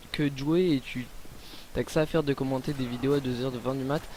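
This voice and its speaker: Fairly even intonation carries a delivery that moves at a fairly quick pace. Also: man. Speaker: gaming commentator. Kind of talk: gameplay commentary. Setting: at home late at night. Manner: hesitant, many fillers.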